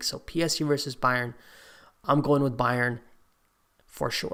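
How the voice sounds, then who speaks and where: A man with a fairly high pitch speaks at a moderate pace. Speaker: football YouTuber streaming a draw reaction. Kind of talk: live stream commentary. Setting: live stream. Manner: loud at times; animated.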